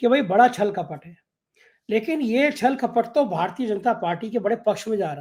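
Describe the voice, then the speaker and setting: Pitched high for a man, his voice has lively intonation and big swings in loudness. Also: moderate pace. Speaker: news show host. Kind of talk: political interview.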